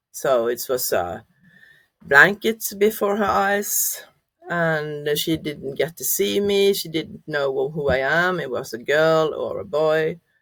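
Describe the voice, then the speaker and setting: A woman with a Norwegian accent speaks at a very slow pace and a very deep, low pitch. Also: lively intonation. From Norway. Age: 50s. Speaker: adoptee sharing life story. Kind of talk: interview testimony. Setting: podcast interview. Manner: halting, many fillers.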